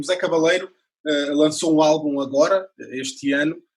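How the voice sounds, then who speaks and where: A man with a European Portuguese accent. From Portugal. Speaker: radio journalist. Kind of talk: interview questions.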